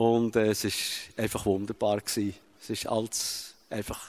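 A man speaks at a fairly low pitch in a flat, monotone delivery. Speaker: father. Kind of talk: testimony. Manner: halting.

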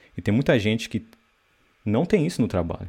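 A man talks at a very fast pace in a dark, mellow tone at medium pitch. The recording is very clean with a silent background. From Brazil. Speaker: software developer and online course creator. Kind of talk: casual interview chat.

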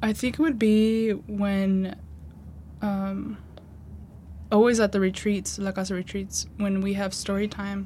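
With a dark, mellow tone and a somewhat breathy quality, a woman speaks at medium pitch and a fairly slow pace in a monotone, flat intonation, leaving long, frequent pauses. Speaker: college student. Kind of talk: interview testimony.

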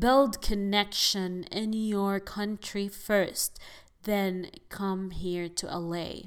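On a very clean recording with a silent background, a woman with an Arabic accent talks very slowly at a medium pitch. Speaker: podcast host and actress. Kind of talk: casual monologue podcast, advice to listeners. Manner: animated, chatty, enthusiastic.

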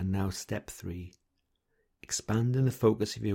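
A man speaks at a moderate pace with a somewhat breathy voice. The recording is very clean, with a silent background. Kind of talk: guided meditation. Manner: gentle, soft-spoken and measured.

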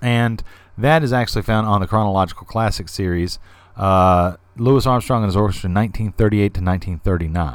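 A man with an unremarkable speaking voice, fairly low in pitch with ordinary pitch variation, talks at a moderate pace in a very clean recording with a silent background. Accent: American. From US South. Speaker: podcast host. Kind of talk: solo podcast monologue. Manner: casual, conversational.

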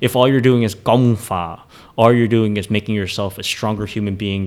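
A man with an American accent at a fairly quick pace, in monotone, flat intonation. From US, Philadelphia area, Vietnamese family. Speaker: kung fu teacher. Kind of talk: casual chat.

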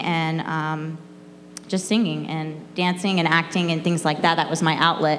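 With audible room echo, a woman in an American accent speaks at a moderate pace in a monotone, flat voice. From Florida. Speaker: church student sharing testimony. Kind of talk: personal testimony before a congregation. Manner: hesitant, filler-heavy with frequent ums.

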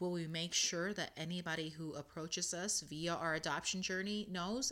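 A woman with an unremarkable speaking voice talks at a moderate pace, her fairly low pitch showing ordinary pitch variation. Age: 30s. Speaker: podcast host. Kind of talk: solo podcast talk with article reading.

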